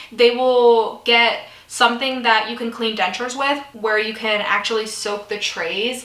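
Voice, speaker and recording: A woman speaks at a fairly high pitch. Noticeable background noise and audible room echo come through the recording. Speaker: beauty vlogger. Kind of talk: casual get-ready-with-me vlog. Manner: chatty.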